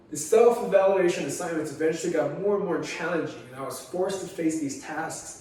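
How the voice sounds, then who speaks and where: A man at a fairly quick pace with ordinary pitch variation, amid audible room echo and noticeable background noise. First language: not English. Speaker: college student. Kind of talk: reading aloud.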